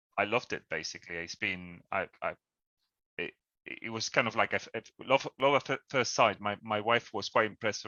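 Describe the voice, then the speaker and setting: A man with a Spanish accent speaks at a fairly quick pace in a fairly low voice. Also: ordinary pitch variation. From Spain. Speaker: cycling campaign leader. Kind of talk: presentation on a video call. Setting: video call. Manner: halting, many repetitions.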